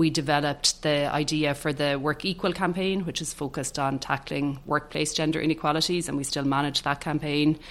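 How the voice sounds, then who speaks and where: A woman's very deep, low voice with an Irish accent, fairly quick and with hardly any pauses, in a monotone, flat intonation. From Ireland, County Tipperary. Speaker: public relations director. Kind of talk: interview conversation.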